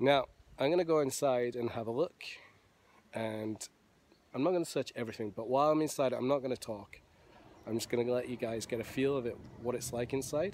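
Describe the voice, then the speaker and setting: The delivery is fairly quick with ordinary pitch variation, and the dry sound has no echo and light background noise. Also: man. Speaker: travel vlogger. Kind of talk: casual vlog chat. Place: open country. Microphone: phone near.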